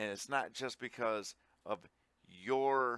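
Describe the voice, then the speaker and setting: This man has an American accent and a bright, sharp tone, talking at a very slow pace with ordinary pitch variation. The sound is dry and close, without echo. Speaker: gaming commentator. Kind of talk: casual chat.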